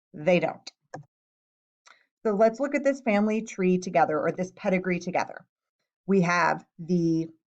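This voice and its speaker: Against a quiet background, a woman talks at a moderate pace. Her medium pitch shows ordinary variation. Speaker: science teacher. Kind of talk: tutorial.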